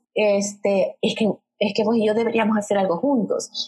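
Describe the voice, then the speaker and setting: A woman's voice, fairly high in pitch. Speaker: podcast co-host, storytelling trainer. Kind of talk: casual conversational storytelling.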